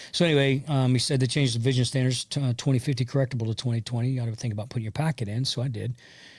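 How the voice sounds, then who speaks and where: With an American accent, a man speaks very fast with hardly any pauses, somewhat breathy at a medium pitch with fairly even intonation, on a very clean recording with a silent background. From US South, West Central Florida. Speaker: army veteran and country singer. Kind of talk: interview conversation. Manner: halting, many fillers.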